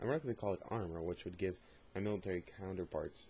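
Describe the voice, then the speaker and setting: A man's dark, mellow, somewhat breathy voice, fairly low in pitch, with ordinary pitch variation. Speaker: YouTube channel host doing a dramatic reading. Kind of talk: dramatic reading of a fictional journal.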